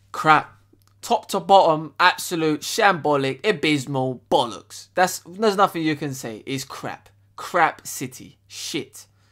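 Against a quiet background, a man talks at a fairly slow pace in an angry tone. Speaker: football fan youtuber. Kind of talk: furious profane football rant, shouting and swearing at the team and manager. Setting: solo video to camera. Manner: loud, angry, ranting, packed with swearing and slang. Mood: angry and frustrated. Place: home room. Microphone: webcam.

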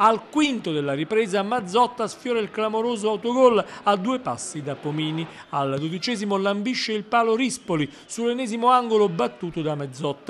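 This man's voice is high-pitched. He speaks with lively intonation. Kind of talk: sports commentary, highlights recap narration. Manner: rapid-fire, clipped play-by-play delivery with minute markers.

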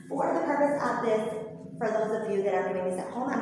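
Strong room echo surrounds a woman's voice, with light background noise. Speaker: movement instructor. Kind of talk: tutorial. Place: gym. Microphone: camera far.

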